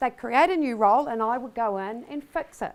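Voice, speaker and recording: A woman with a New Zealand accent speaks at a moderate pace with lively intonation. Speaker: business executive. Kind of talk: conference keynote speech. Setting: stage before large audience. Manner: casual, many fillers.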